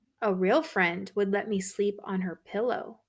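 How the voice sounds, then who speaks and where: On a very clean recording with a silent background, a woman uses a put-on character voice at a medium pitch and a moderate pace. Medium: read story.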